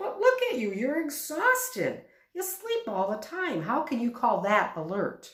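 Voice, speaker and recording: Putting on a character voice, a woman speaks with a high pitch. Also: moderate pace. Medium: read story. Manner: earnest, plain-spoken.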